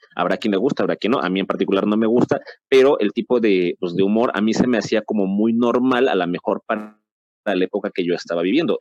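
Fairly low in pitch, a man talks at a very fast pace with ordinary pitch variation. The sound is dry and close, with no echo. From Mexico. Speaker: podcast host. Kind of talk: casual panel discussion.

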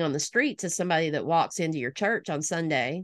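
Someone with a slight Alabama accent speaks at a moderate pace with ordinary pitch variation. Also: woman. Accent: slight Alabama Southern. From US South, northwest Alabama. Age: 40s. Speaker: pastor. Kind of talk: casual interview.

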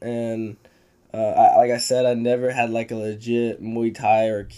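With music in the background, a man with a Texan accent speaks at a medium pitch in a flat monotone. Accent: Texan American. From Texas hill country. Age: 20s. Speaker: MMA fighter. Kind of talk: casual chat.

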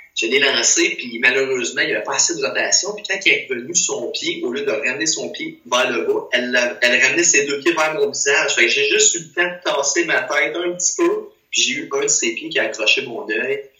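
In a room with audible echo and noticeable background noise, a man speaks at a fairly quick pace with hardly any pauses. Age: 20s. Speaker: physical education teacher. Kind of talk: casual chat.

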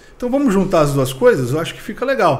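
In a room with audible echo, a man talks with lively intonation. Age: middle-aged. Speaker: vintage car content creator. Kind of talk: casual interview.

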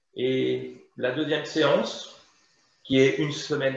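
A man's medium-pitched voice comes with audible room echo. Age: 50s. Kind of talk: interview.

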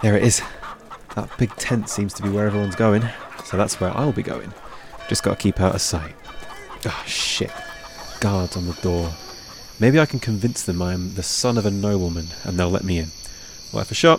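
Long, frequent pauses from a man with a fairly low pitch and ordinary pitch variation, with music in the background. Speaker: street urchin character, young hero. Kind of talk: acted fantasy drama dialogue. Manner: cheeky, quick-witted, sarcastic.

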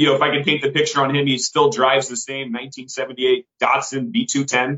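The man's American accent comes through at a medium pitch and a moderate pace. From US West Coast, San Francisco Bay Area. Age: 30s. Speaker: entrepreneur. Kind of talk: casual chat.

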